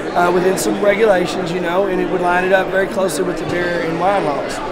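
Crowd noise fills the background. A man talks at a fairly quick pace. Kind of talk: interview answer. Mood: calm, explanatory. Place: hall.

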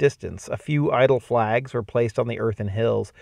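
Plain reading aloud, the pitch varying in an ordinary way

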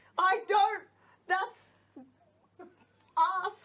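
With clear background noise behind her, a woman uses a squeaky, put-on character voice at an extremely high pitch. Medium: stage play. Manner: halting, bickering.

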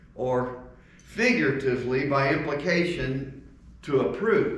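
Audible room echo surrounds a man speaking at a very slow pace. His pitch variation is ordinary. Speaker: speaker. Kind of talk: communion devotional talk. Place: church. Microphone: camera far.

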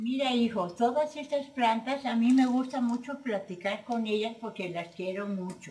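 A woman speaks at a moderate pace in a high voice with ordinary pitch variation. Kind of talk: warm casual talk to a child. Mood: tender, affectionate. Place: garden. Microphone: camera far.

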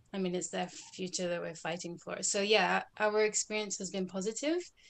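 At a moderate pace, a woman with a fairly low voice talks in a flat monotone with a Scottish accent. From Scotland. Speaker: activist; interview guest. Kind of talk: interview. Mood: earnest, engaged. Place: home room. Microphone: video call.

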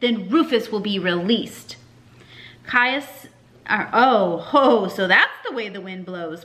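The clip presents a natural reading voice.

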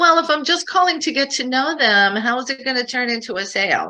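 A woman's put-on character voice, whiny and high-pitched, at a fairly quick pace. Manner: complaining.

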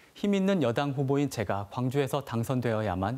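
A man's dark, mellow tone carries his speech at a moderate pace. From South Korea, Gwangju; South Korea. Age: 30s. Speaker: election candidate, physician; election candidate. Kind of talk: campaign broadcast speech. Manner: formal. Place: studio.

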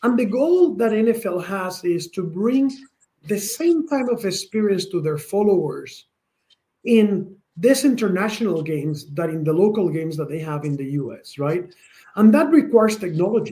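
His pitch swings very widely. The man speaks at a moderate pace in a high voice. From Spain. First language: Spanish. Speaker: tech company president. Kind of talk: interview. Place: office.

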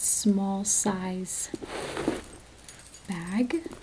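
The speaker is soft-spoken. Noticeable background noise is present. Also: woman. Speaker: shop seller. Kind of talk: product showcase talk. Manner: soft-spoken, hushed ASMR sales talk. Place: shop.

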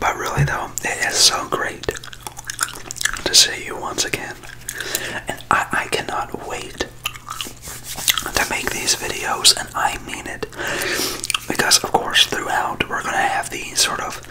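A man whispers very slowly, with long, frequent pauses between words. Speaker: ASMR creator. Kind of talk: ASMR ramble. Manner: whispered.

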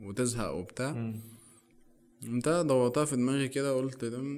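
At a fairly slow pace, a man speaks with ordinary pitch variation. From Egypt. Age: 20s. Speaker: photographer; podcast guest. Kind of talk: casual chat. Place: studio. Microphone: studio mic.

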